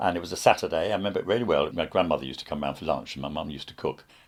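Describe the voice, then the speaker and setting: A man is talking. Noticeable noise sits in the background. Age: 70s. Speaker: opera collector. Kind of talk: interview.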